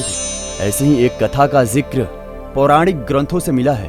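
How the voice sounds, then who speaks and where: A man is speaking. Music plays in the background. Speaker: voice-over artist. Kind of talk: devotional mythology story narration.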